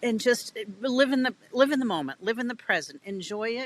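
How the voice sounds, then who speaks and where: A woman speaks with a New England accent. The sound is dry and close, with no echo. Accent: New England American. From New England, US. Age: 60s. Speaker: children's author. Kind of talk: podcast interview.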